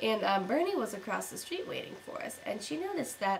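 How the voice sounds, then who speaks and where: Against noticeable background noise, a woman's fairly high voice moves through very wide pitch swings. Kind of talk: casual talk to camera. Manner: unenthusiastic.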